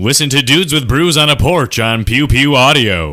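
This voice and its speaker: A man performs a put-on character voice with lively intonation at a moderate pace. His loudness stays very even. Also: very clean recording, silent background. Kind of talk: announcer voice.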